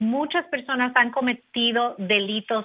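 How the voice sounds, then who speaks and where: A woman speaks in an ordinary speaking voice at a fairly slow pace, with ordinary pitch variation. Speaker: immigration lawyer. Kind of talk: legal advice segment.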